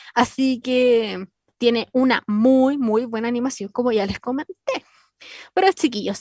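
A woman with a Chilean accent speaks in a high pitch at a moderate pace. The sound is dry and close, with no echo. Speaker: radio host. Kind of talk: casual radio presenting. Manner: animated.

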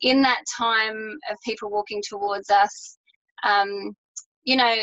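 Speaking with an Australian accent, a woman has a fairly high pitch. Her pace is moderate and her intonation fairly even. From Australia, New South Wales. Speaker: holistic health business owner. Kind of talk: interview.

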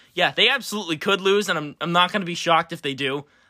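In a very clean recording with a silent background, a man with an American accent speaks very fast in a high pitch. His tone is bright, sharp and animated, with very wide pitch swings. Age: 20s. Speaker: sports podcast host. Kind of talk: casual sports chat.

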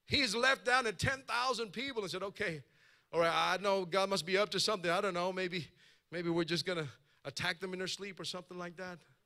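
In a raised, projected voice, a man speaks with a high pitch, a bright, sharp tone, and an animated delivery at a fairly quick pace. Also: ordinary pitch variation. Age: 40s. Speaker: pastor. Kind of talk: sermon. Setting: church.

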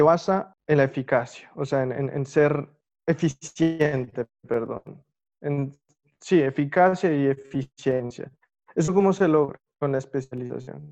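A fairly high-pitched male voice at a fairly slow pace with ordinary pitch variation. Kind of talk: interview testimony. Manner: halting, many repetitions.

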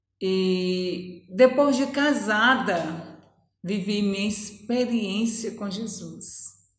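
Somewhat breathy and very slow, a woman talks at a medium pitch with ordinary pitch variation. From Brazil, Ceará (Northeast). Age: 50s. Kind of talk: testimony.

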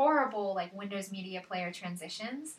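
A moderate pace and lively intonation, over noticeable background noise. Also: woman. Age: 20s. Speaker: film podcast co-host. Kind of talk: casual chat.

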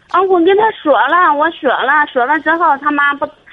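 A woman talks at a moderate pace with ordinary pitch variation amid noticeable background noise. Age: 30s. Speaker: caller seeking marriage advice. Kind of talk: phone-in advice call. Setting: phone call.

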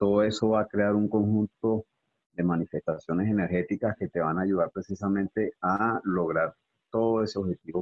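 A man with a Venezuelan accent, fairly low in pitch, at a moderate pace, with fairly even intonation and very even loudness. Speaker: personal trainer. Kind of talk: casual interview.

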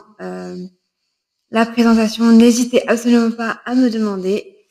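A woman's fairly high-pitched voice has a dark, mellow tone. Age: 20s. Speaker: podcaster and fitness instructor. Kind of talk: solo podcast monologue. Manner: hesitant, many filler sounds.

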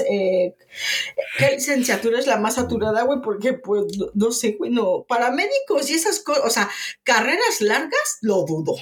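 Very wide pitch swings in a Mexican accent at a moderate pace, with noticeable background noise. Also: woman. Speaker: podcast co-host. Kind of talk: casual chat.

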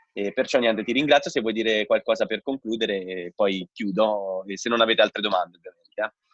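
A man has a normal speaking voice with medium pitch and ordinary pitch variation. He talks at a fairly quick pace with hardly any pauses. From Rome, Italy. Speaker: podcast host and entrepreneur. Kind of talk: webinar host moderating a live video call. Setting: video call.

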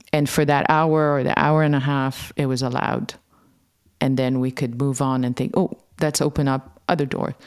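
A woman's very deep, low voice at a moderate pace. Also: fairly even intonation. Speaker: podcast host. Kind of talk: interview conversation. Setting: video call.

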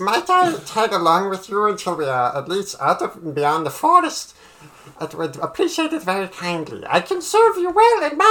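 This is a put-on character voice at a middle pitch. The pace is moderate. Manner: polite, eager, slightly nervous.

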